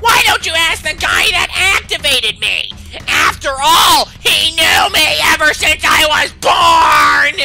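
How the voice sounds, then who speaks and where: Shouting in a put-on character voice at an extremely high pitch, a man is heard over clear music in the background. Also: fairly slow pace. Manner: screaming, shouting angrily.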